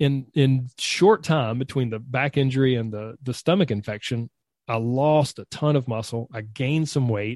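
A man talks at a moderate pace with a medium pitch and ordinary pitch variation, in a normal speaking voice. The background is quiet. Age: 40s. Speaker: nutrition and fitness coach. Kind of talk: interview.

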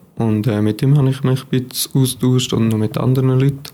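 A man's fairly even intonation is heard over noticeable background noise. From Switzerland, Aargau (near Baden). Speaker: psychology student. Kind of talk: casual interview.

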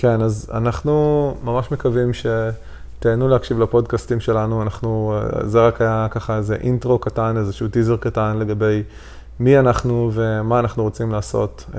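Intonation stays monotone and flat while the speech keeps a moderate pace. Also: man, medium pitch for a man. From Israel, Haifa Krayot. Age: 30s. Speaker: podcast co-host. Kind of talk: casual chat. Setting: recording at home on a couch.

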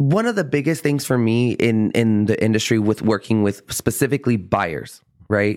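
An animated man at a moderate pace, medium in pitch, with ordinary pitch variation and very even loudness. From US South, San Antonio, Texas. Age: 30s. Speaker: real estate professional. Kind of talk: casual interview chat.

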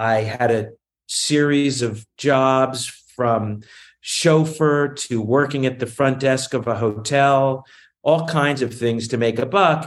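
At a very slow pace, a man with an American accent speaks at medium pitch with fairly even intonation against a quiet background. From US South, Virginia (Newport News). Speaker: film and television producer. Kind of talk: interview.

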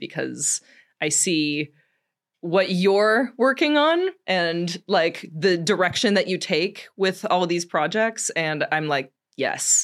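A fairly low-pitched woman's voice with an American accent, very clean recording with a silent background. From Minnesota and Texas. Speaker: adult film performer. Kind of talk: casual interview. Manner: many filler words.

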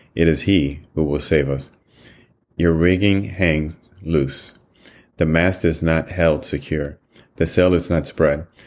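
A man's very deep, low pitch at a very slow pace, solemn in tone, with very even loudness and long, frequent pauses. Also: fairly even intonation. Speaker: Bible reading podcast host. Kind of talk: formal scripture reading aloud, solemn devotional delivery. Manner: measured, solemn, steady pace; formal, reverent.

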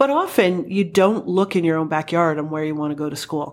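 A woman with an Ontario accent speaks at a very deep, low pitch and a fairly quick pace. Her pitch variation is ordinary, and the recording is very clean with a silent background. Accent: Canadian (Ontario). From Welland, Ontario, Canada. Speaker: college athletics director. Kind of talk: interview. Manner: engaging, animated.

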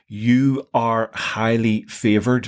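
In a Northern Irish accent, a man speaks at a medium pitch with monotone, flat intonation. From Northern Ireland. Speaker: Bible podcast co-host. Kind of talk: casual chat.

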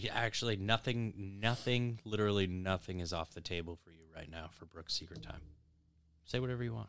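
A man speaks in a plain, everyday voice at a fairly low pitch and a fairly quick pace. His pitch varies in an ordinary way, while his loudness swings widely. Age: 30s. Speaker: podcast co-host. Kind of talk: casual chat.

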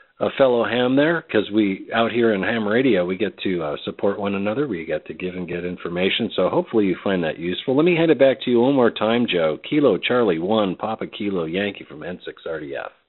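Rushing at a very fast pace, a man speaks at a fairly low pitch with lively intonation. Noticeable background noise runs underneath. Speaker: ham radio net controller and teacher. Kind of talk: amateur radio net. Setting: radio transmission.

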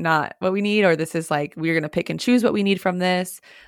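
Here a woman has an unremarkable speaking voice at a fairly low pitch, with ordinary pitch variation. She speaks at a fairly quick pace in a very clean recording with a silent background. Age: 30s. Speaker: real estate brokerage co-founder and podcast co-host. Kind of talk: casual chat.

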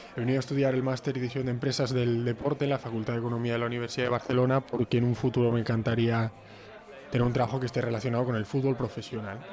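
Crowd noise fills the background as a man speaks at a very fast pace. His intonation stays monotone and flat. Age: 20s. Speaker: master's student. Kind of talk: casual panel discussion.

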